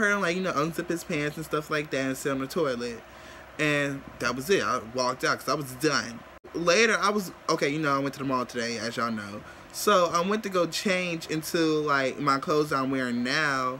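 The man talks at a fairly quick pace with ordinary pitch variation. There is light background noise. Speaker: vlogger. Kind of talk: casual vlog chat. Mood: amused, disgusted. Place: home room. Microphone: phone near.

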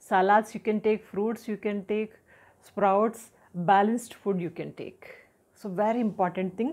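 A woman with an Indian accent speaks at a moderate pace and medium pitch, with fairly even intonation. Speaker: health and personality development educator; personality development educator. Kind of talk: tutorial talk to camera. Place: home room.

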